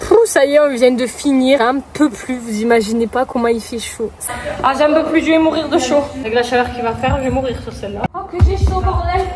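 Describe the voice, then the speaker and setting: Over music in the background, a woman speaks at a high pitch with ordinary pitch variation, and the room echo is audible. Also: moderate pace. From southern France. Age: 20s. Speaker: vlogger and amateur singer. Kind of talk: casual vlog talk. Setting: at home. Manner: animated.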